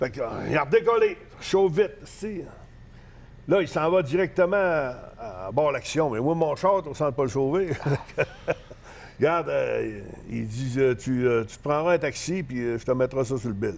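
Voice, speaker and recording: Speaking with a Saguenay–Lac-Saint-Jean accent, a man uses a fairly high pitch and lively intonation at a fairly slow pace, with long, frequent pauses. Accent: Saguenay-Lac-Saint-Jean Quebec French. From Quebec, Saguenay (Jonquière). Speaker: professional wrestler. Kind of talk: casual interview, storytelling. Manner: hesitant, many fillers.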